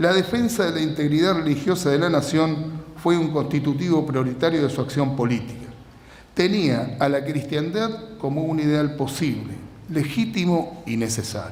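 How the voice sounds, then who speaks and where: Amid noticeable background noise and audible room echo, a man speaks at a moderate pace in a fairly high voice with lively intonation. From Argentina. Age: 60s. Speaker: lecturer. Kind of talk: lecture.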